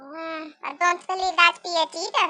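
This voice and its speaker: An extremely high, squeaky cartoonish character voice moves at a moderate pace. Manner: skeptical, interrupting.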